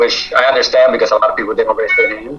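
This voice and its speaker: A man with an American accent speaks over noticeable background noise. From New York. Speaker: real estate cold caller. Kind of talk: casual chat. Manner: fast.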